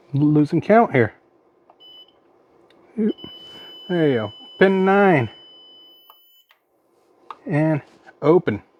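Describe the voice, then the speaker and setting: His pitch is fairly high and swings very widely. The man speaks very slowly, with long, frequent pauses. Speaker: electronics repair technician. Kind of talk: repair tutorial talk to camera. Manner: casual.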